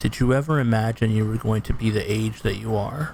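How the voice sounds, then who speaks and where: A man's medium-pitched, somewhat breathy voice with monotone, flat intonation. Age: 30s. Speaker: gaming streamer. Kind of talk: casual monologue. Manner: halting.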